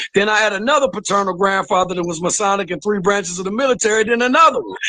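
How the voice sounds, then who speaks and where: A man projects a raised voice with a bright, sharp tone, speaking at a very fast pace with ordinary pitch variation. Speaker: caller. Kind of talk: heated debate.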